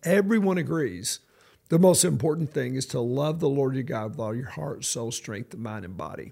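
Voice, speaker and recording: Lively intonation and vocal fry mark this man's fairly high-pitched voice, heard at a moderate pace on a very clean recording with a silent background. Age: 60s. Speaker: pastor. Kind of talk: podcast interview.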